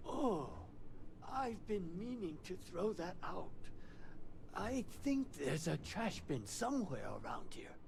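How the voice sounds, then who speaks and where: Using a put-on character voice with a high pitch, a man speaks at a fairly slow pace with long, frequent pauses. Loud background noise is present. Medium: video game. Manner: hesitant, wondering.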